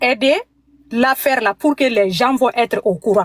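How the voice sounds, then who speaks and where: In a dry, close recording with no echo, a woman speaks at a fairly slow pace with lively intonation. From Mali. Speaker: caller. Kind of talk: phone call-in testimony. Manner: halting.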